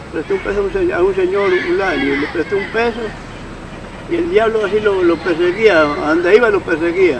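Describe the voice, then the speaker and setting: A man with a high pitch and ordinary pitch variation at a fairly quick pace, crowd noise in the background. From Colombia, Patía valley (Cauca). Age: 70s. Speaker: elderly local storyteller. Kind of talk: interview testimony. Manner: halting.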